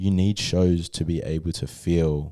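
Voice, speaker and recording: A man with an Australian accent speaks at a very deep, low pitch. His tone is dark and mellow, and his intonation is monotone and flat. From Australia, New South Wales then Western Australia. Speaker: hip-hop artist. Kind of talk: casual chat. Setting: studio.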